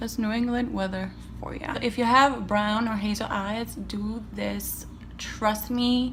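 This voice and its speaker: A woman speaks at a fairly slow pace. Noticeable background noise and audible room echo are present. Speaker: beauty vlogger. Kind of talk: makeup tutorial chat. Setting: home, seated by windows. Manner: soft-spoken, near whisper.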